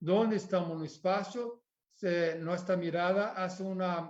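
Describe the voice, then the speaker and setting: A man's high-pitched voice at a very slow pace, with audible room echo. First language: Portuguese (speaking Spanish). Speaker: architect. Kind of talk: lecture. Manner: halting.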